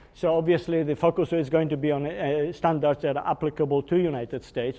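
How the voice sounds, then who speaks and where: A man talks fairly quickly in a fairly high pitch. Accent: Polish. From Poland. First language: Polish. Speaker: engineering executive. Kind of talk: technical workshop lecture. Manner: hesitant, with fillers.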